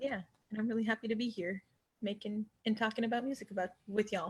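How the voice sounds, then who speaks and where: Talking at a fairly quick pace, a woman sounds somewhat breathy at a fairly high pitch. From northern Quebec, Eastern James Bay Cree territory. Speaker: singer-songwriter. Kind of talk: interview. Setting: live webinar. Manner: hesitant, many fillers.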